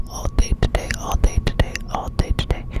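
Whispering, a woman talks at a moderate pace. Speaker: ASMR creator. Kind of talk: ASMR study-with-me video. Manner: laid back, repetitive trigger words. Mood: cozy, late night. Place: home room. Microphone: studio mic.

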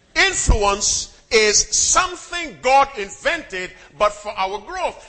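Over music in the background, a man with a high pitch speaks with very wide pitch swings. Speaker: Adventist preacher. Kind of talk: sermon with call-and-response to the congregation. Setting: church before a live congregation. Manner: commanding, drills the crowd for repeated amens; wry, teasing humor with punchy short sentences.

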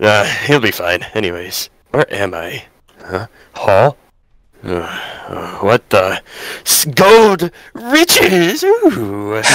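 A man in a put-on character voice speaks very slowly at a medium pitch, with long, frequent pauses. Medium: role play.

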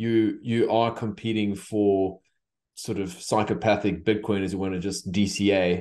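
Against a quiet background, a man talks in a fairly low pitch with ordinary pitch variation. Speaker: podcast host. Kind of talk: podcast interview question. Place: home room. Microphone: video call.

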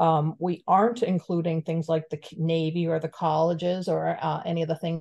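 An American accent with a dark, mellow tone at a moderate pace. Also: woman. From Florida. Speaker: community member. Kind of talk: public comment. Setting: video call. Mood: concerned, advocating. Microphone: video call.

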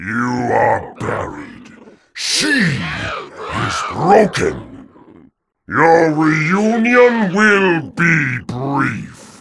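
Putting on a menacing character voice, a man talks at a very slow pace in a high pitch. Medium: dub. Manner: menacing, grandiose.

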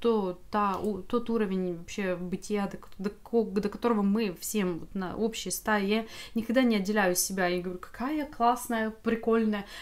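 A woman speaks at a fairly slow pace. Her pitch is fairly high and her intonation fairly even. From Ukraine, Vinnytsia. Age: 40s. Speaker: video blogger. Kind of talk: casual vlog monologue. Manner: halting, many fillers.

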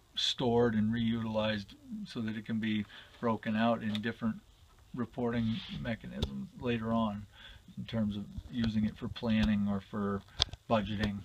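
A fairly low male voice at a moderate pace, with ordinary pitch variation, long, frequent pauses and noticeable background noise. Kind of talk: interview answer. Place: office. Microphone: phone near.

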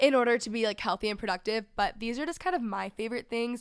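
The setting is quiet. A woman does the talking. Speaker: podcast host. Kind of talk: casual podcast chat. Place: studio. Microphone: studio mic.

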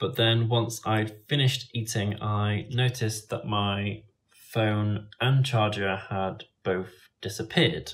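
A man talks at a fairly low pitch, somewhat breathy. His pace is fairly slow, with ordinary pitch variation. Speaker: travel vlogger. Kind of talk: casual vlog chat. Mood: calm, slightly rueful. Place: home room. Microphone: phone near.

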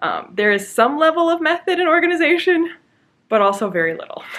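A woman speaks fairly quickly at an extremely high pitch, her voice swinging very widely up and down. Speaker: book channel host. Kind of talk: casual vlog chat. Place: home room. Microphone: phone near.

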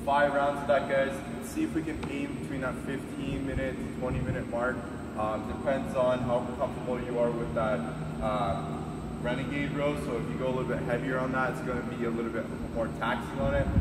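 A man at a fairly quick pace, with loud background noise. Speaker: fitness coach. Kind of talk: workout explanation. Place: gym. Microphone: camera far.

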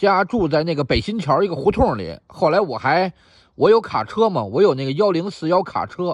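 A high male voice with very wide pitch swings at a moderate pace. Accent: Beijing. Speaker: YouTube commentator. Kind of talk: monologue answering listener email.

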